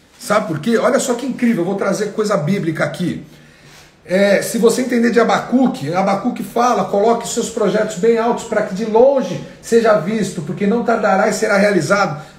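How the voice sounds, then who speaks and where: Amid noticeable background noise and audible room echo, a man speaks at a moderate pace in an animated tone at a high pitch with ordinary pitch variation. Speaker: entrepreneurship and finance coach. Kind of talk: live online class. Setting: livestream.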